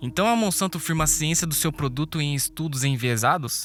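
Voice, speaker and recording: A man's fairly high pitch with ordinary variation, dry and close with no echo, on a very clean recording with a silent background. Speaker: documentary narrator. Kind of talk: documentary narration.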